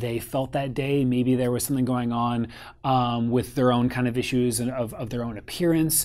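Quiet background behind a man's voice. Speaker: photography business coach. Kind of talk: casual advice talk to camera. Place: home room.

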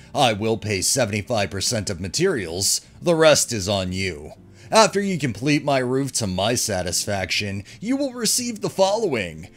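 A man at a fairly slow pace with very wide pitch swings, music in the background. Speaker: story narrator. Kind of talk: reading a post aloud with commentary.

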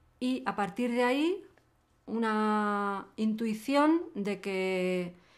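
A woman's voice sits fairly high, with lively intonation. The background is quiet. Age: 50s. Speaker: hacker and activist; interviewee. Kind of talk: interview. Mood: reflective, thoughtful. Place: studio.

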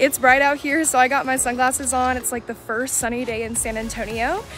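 A woman's high voice at a moderate pace with ordinary pitch variation, dry with no echo, faint music in the background. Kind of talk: casual vlog chat. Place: street. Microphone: phone near.

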